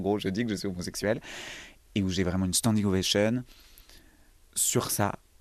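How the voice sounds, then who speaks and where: A plain, everyday voice from a man, pitched fairly low and moving at a fairly quick pace. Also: quiet background. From rural Loire, near Montbrison (Saint-Étienne area), France. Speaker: actor. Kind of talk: casual interview.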